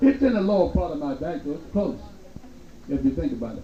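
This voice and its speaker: A man's voice swings very widely in pitch. Noticeable background noise and audible room echo surround him. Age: 60s. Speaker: nightclub entertainer. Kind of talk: stand-up. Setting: stage with audience. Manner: animated.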